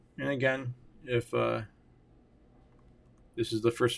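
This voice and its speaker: A man is speaking. His intonation stays fairly even. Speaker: software developer and YouTuber. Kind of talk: coding tutorial livestream-style narration. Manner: slow; halting.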